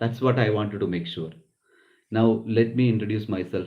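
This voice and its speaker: A man with a fairly low pitch and a Keralan accent. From Kerala, South India. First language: Malayalam. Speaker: nurse and business founder. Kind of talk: business talk. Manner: halting.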